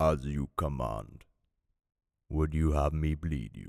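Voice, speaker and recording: Someone puts on a character voice and delivers it at a fairly slow pace. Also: man, very deep, low pitch for a man. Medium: read story.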